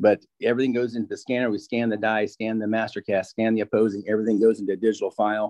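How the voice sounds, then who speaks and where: With an American accent, a man talks at a very fast pace with hardly any pauses and a monotone, flat intonation, in a dry, close sound with no echo. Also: medium pitch for a man. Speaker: dental lab owner. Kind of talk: interview.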